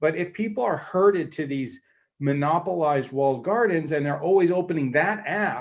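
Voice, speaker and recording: Delivered at a fairly quick pace, a plain, everyday voice with an American accent carries lively intonation. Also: man. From United States. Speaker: panel speaker, mobility company executive. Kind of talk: panel debate presentation. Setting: online conference session.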